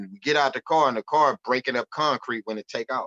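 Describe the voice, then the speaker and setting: A man of medium pitch with an American accent, speaking at a fairly quick pace with ordinary pitch variation, in a dry, close sound with no echo. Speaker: rapper. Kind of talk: casual interview conversation. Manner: animated storytelling.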